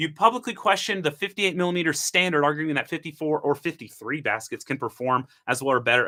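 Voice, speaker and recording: The man's tone is bright and sharp, with vocal fry. The background is silent in a very clean recording. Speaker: coffee content creator. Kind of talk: livestream monologue. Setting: live stream. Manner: animated.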